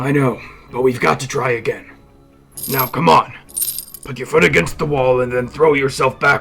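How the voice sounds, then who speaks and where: A man uses a raspy, put-on character voice at a medium pitch with ordinary variation. He keeps a moderate pace with long, frequent pauses as faint music plays in the background. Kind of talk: 1940s radio acting. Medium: stage play. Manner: steady, commanding.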